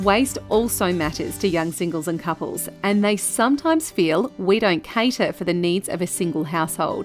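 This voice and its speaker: Over music in the background, a woman talks at a moderate pace and medium pitch with hardly any pauses. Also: ordinary pitch variation. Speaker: voice artist. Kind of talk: corporate narration.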